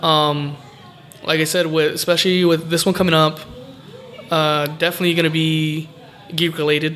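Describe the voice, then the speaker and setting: Against noticeable background noise, a man with an American accent speaks at a fairly high pitch in a monotone, flat intonation. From California. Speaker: pro wrestler. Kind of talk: casual interview. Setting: recorded on location in a game shop.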